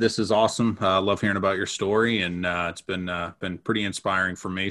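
On a very clean recording with a silent background, a man with a very deep, low pitch and a bright, sharp tone talks very fast. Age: 30s. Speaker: podcast co-host. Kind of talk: casual chat.

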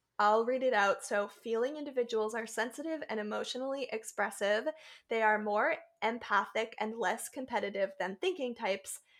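This woman has an ordinary speaking voice, pitched fairly high with ordinary pitch variation. She talks at a moderate pace. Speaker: podcast co-host. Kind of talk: casual chat.

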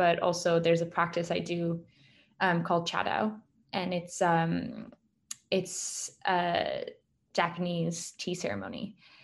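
At a fairly slow pace, a woman with a fairly low pitch and vocal fry speaks with fairly even intonation and long, frequent pauses over a quiet background. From France. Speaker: documentary filmmaker. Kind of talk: casual interview.

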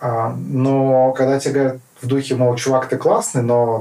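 His pitch sits at a medium level for a man. There is noticeable background noise behind him. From Kazakhstan (Karaganda). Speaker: politician. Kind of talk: interview. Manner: hesitant, many fillers.

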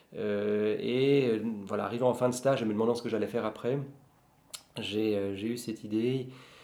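The man's speech is monotone and flat, at a moderate pace broken by long, frequent pauses. The recording has audible room echo and noticeable background noise. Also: medium pitch for a man. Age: 40s. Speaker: bookseller and law scholar. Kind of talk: casual chat.

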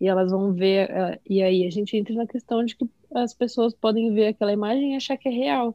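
In a plain, everyday voice, a woman talks at a moderate pace with a fairly high pitch, ordinary pitch variation and very even loudness. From São Paulo, Brazil. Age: 20s. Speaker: graphic designer. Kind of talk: casual chat.

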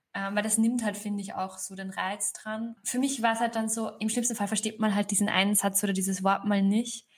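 A woman talks at a fairly quick pace with a medium pitch, somewhat breathy and monotone in flat intonation, with hardly any pauses. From Upper Austria, rural. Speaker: author. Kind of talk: interview.

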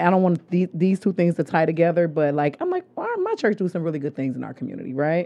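A woman talks at a very fast pace with hardly any pauses, in an animated tone with a fairly low pitch and ordinary pitch variation. Noticeable background noise can be heard. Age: 40s. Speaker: podcast host. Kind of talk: casual chat.

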